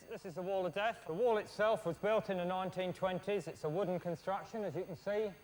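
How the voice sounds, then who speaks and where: This man speaks at a fairly quick pace. His voice is high-pitched. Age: 40s. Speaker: wall of death rider and showman. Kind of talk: casual explanation to recruits.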